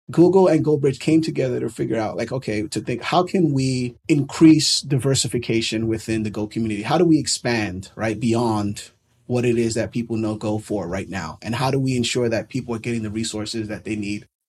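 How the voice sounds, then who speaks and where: A man with an unremarkable speaking voice and an American accent talks fairly quickly at a medium pitch, with ordinary pitch variation and hardly any pauses, on a very clean recording with a silent background. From New York City. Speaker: developer community organizer. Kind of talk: interview.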